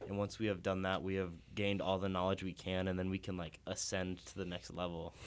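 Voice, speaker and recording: An ordinary speaking voice, a man with an American accent speaks at a fairly low pitch on a very clean recording with a silent background. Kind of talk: casual chat.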